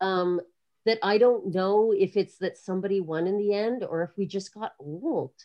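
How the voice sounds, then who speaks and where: In an ordinary speaking voice, a woman talks at a moderate pace, her medium pitch showing ordinary variation. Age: 40s. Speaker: breaker and dance artist. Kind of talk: casual interview.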